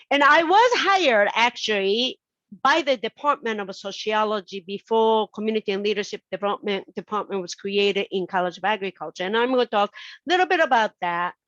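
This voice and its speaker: A woman with a Japanese accent speaks fairly quickly in a fairly high voice with lively intonation. The sound is dry and close with no echo, and the background is quiet. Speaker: sociology professor. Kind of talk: invited talk.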